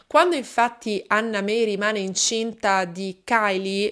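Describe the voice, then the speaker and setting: A woman with a fairly high pitch speaks in a serious tone over a quiet background. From Italy. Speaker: true crime YouTuber. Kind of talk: true-crime narration, solo monologue to camera. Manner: measured, steady storytelling pace, serious. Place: home room. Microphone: studio mic.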